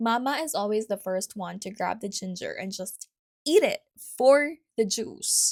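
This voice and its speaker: A woman at a fairly slow pace with big swings in loudness, dry and close with no echo, in a very clean recording with a silent background. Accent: Filipino. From Philippines. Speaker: podcast host. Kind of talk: casual solo podcast talk. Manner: chatty, conversational.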